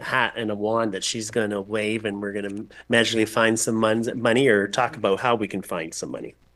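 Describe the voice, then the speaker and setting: An ordinary speaking voice with a Canadian accent. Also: man. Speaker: chief administrative officer. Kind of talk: council meeting discussion.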